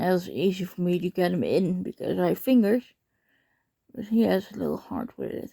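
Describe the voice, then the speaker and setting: With a Dutch accent, the speech moves at a fairly quick pace. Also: woman. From Netherlands. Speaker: pet owner vlogger. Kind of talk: casual talk to pet while filming. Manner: encouraging, coaxing.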